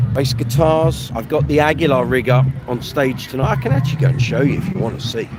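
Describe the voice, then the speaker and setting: Noticeable background noise and audible room echo around a man talking at a moderate speed. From London. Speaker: bass player and livestream host. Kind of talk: casual live stream chat.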